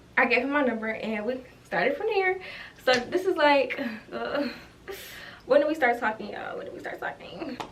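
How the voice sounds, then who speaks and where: Noticeable background noise sits behind a woman whose pitch varies in an ordinary way. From Ohio. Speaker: YouTuber. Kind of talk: storytime vlog. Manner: fast.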